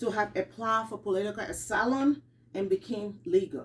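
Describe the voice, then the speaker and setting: Somewhat breathy, a woman talks with lively intonation. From Liberia. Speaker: student. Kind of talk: class speech. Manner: halting.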